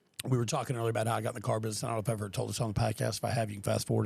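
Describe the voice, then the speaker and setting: A man speaks at a very fast pace with a fairly low pitch. His intonation is monotone and flat, with vocal fry. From Texas, Austin. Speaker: podcast host. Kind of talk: casual chat.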